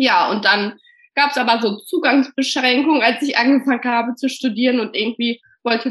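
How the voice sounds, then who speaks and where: High female speech, its pitch varying in an ordinary way. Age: 30s. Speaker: primary school teacher. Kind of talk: casual interview.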